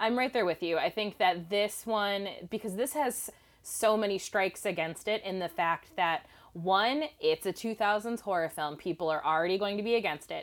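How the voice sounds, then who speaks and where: In an unremarkable speaking voice, a woman speaks at a moderate pace and medium pitch with ordinary pitch variation, recorded very cleanly against a silent background. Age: 30. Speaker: filmmaker and film analyst. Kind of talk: casual chat.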